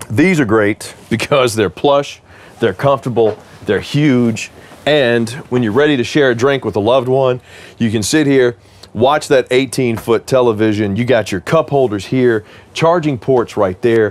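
This man speaks at a moderate pace. His pitch variation is ordinary. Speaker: RV salesman or tour host. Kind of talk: casual product walkthrough.

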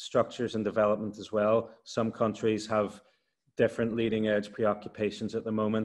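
Against a quiet background, a man with an Irish accent and a fairly low pitch talks at a moderate pace. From Ireland. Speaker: university lecturer on energy transition. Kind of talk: expert explanation. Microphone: video call.

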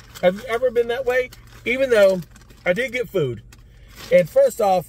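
A man's voice comes through as dry sound with no echo. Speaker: food reviewer vlogger. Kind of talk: casual vlog chat. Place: car. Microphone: phone near.

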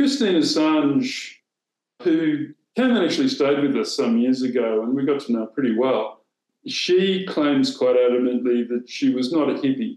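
With an Australian accent, the speaker goes fairly slowly with lively intonation, and room echo is audible over a quiet background. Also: man. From southern Australia. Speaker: former newspaper editor; former newspaper editor, interview guest. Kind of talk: interview. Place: home room. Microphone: video call.

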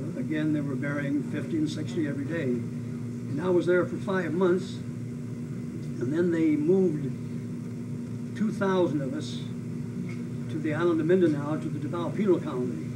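A man with an American accent speaks at a fairly slow pace, his pitch swinging very widely. Loud background noise sits behind him. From US Pacific Northwest. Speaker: WWII veteran and former prisoner of war, aviator. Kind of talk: oral history interview, elder life story of wartime captivity and rescue. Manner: solemn, matter-of-fact, emphatic on atrocities. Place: home room.

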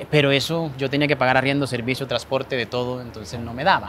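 With a coastal Colombian accent, a man talks very fast with fairly even intonation, the sound dry and echo-free over light background noise. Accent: Colombian coastal (costeño) Spanish. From Colombian Caribbean coast, Montería, Córdoba; Colombian Caribbean coast. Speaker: small business owner. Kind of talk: interview. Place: waterside. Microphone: lapel.

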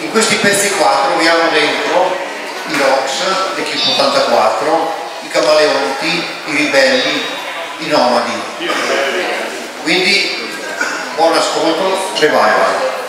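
Loud background noise and audible room echo surround very slow speech broken by long, frequent pauses. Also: man. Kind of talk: stage announcement. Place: stage.

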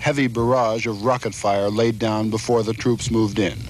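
A man at a moderate pace, ordinary pitch variation, dry sound with no echo. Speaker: war correspondent. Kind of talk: news report narration. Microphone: old recording.

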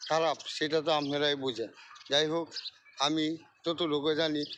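A man's voice sits fairly high. It holds a flat, monotone delivery throughout. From Bangladesh, Mymensingh (Nandail). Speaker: vlogger. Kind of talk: casual monologue to camera. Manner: halting.

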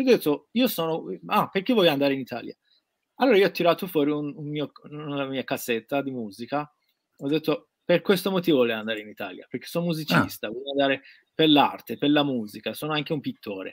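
Talking very fast with lively intonation, a man with a fairly high voice is heard in a dry sound with no echo and a quiet background. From Iran. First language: Persian (speaking Italian). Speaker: guest. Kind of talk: casual livestream interview. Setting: video call from his studio. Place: workshop. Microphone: webcam.

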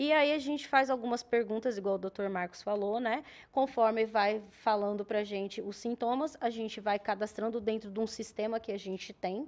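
Her pace is moderate. This woman's intonation stays fairly even. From Paraná, southern Brazil. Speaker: nurse, emergency unit coordinator; guest. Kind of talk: TV talk show interview. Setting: TV studio, live broadcast. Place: studio. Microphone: studio mic.

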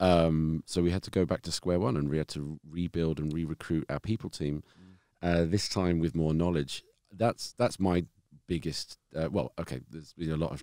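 A moderate pace with ordinary pitch variation. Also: man. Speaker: startup co-founder. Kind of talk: casual chat. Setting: studio. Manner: halting.

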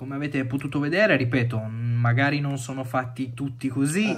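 A somewhat breathy man's voice at a moderate pace, with fairly even intonation. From Turin, northern Italy; northern Italy. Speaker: watch enthusiast sending a video; watch reviewer. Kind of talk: recorded video message. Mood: disappointed, advising against brand. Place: home room.

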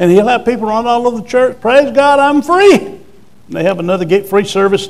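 An animated man's voice, fairly quick, with ordinary pitch variation. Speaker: preacher. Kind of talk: sermon. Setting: church with congregation. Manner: animated, call-and-response, urging the congregation to say amen; emphatic, forceful, declaring with authority. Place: church. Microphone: lapel.

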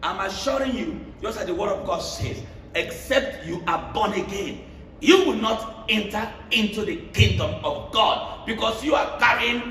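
Against noticeable background noise, a man speaks at a fairly slow pace in an animated tone with lively intonation. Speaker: preacher. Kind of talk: sermon with call-and-response, preaching to a church congregation. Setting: church. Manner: animated, exhortative, repeats phrases for emphasis, pauses for congregation amens.

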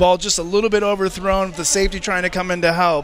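Over light background noise, a man speaks at a very fast pace with a high pitch, the sound dry with no echo. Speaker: color commentator. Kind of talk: live sports commentary, analyst remarks. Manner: conversational, relaxed analyst, enthusiastic. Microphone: headset.

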